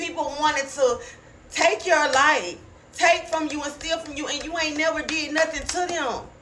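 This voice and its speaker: A woman speaks in a raised, projected, high-pitched voice with an animated tone and big swings in loudness at a moderate pace. Audible room echo and noticeable background noise surround her. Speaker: online preacher. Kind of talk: prophetic sermon.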